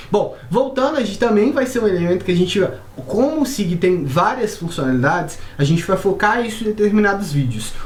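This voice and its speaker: In a Brazilian accent, a woman at a medium pitch speaks at a fairly quick pace with very wide pitch swings, amid noticeable background noise and audible room echo. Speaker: software company presenter. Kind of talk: software tutorial. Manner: casual.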